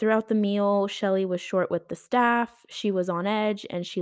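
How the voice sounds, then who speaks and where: A woman with an unremarkable speaking voice talks at a fairly slow pace and medium pitch, with fairly even intonation, in a dry, close sound with no echo on a very clean recording with a silent background. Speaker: true crime podcast host. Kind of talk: true-crime narration, read steadily from a script with quoted dialogue. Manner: conversational and casual in intros, rambling and self-correcting; even, storytelling pace in narration, gravely indignant about the killers.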